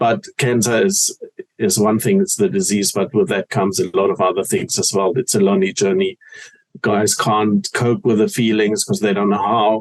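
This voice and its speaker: A man with a German accent speaks at a moderate pace with very even loudness. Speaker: cancer awareness foundation founder. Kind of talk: interview.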